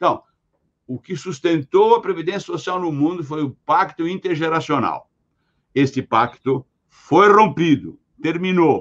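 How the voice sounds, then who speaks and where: A man speaks in a high pitch with ordinary pitch variation. His pace is fairly slow, with long, frequent pauses. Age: 80s+. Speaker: pension and longevity expert. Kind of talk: podcast interview.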